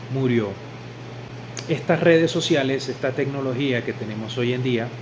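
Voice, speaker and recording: At a moderate pace, a man with a medium-pitched voice speaks with fairly even intonation, with audible room echo and noticeable background noise. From Venezuela. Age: 40s. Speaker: religious convert. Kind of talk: testimony.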